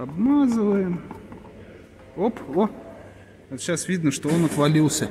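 Against noticeable background noise, the speaker talks fairly slowly with lively intonation and long, frequent pauses. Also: man, high pitch for a man. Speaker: car repair mechanic. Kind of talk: repair tutorial. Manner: casual, thinking aloud.

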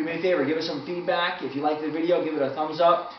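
A man's voice carries audible room echo, with light noise in the background. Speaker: conditioning coach. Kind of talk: tutorial. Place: office. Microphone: camera far.

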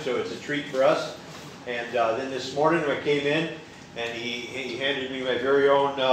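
A man's monotone, flat delivery at a moderate pace, with audible room echo and light background noise. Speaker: guest preacher. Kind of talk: sermon. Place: church.

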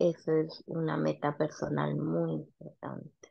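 A woman speaks at a very slow pace. The background is quiet. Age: 30s. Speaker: nail salon owner. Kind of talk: mentoring session. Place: home room. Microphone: video call.

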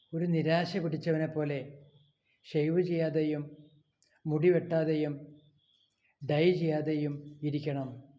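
Audible room echo surrounds a man whose fairly high voice has a dark, mellow tone and monotone, flat intonation. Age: 60s. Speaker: vlogger. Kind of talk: personal vlog monologue. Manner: halting.

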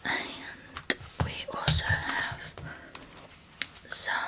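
A soft-spoken woman talks over loud background noise. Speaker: presenter. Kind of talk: product review chat. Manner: soft, hushed ASMR shop talk. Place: studio. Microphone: studio mic.

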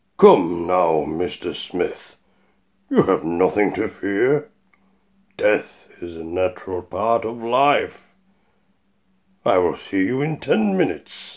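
In a put-on character voice, a man speaks at a fairly low pitch, very slowly, with long, frequent pauses. The recording is very clean, with a silent background. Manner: calm, polite, unhurried, faintly menacing.

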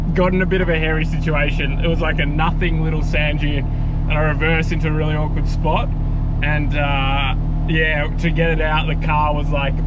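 Loud background noise behind a man talking at a fairly quick pace. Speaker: 4WD traveller vlogger. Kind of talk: casual vlog chat. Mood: shaken but relieved, laughing. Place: car. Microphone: phone near.

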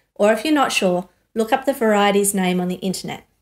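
A woman with ordinary pitch variation over a quiet background. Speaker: course teacher. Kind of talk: tutorial. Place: studio.

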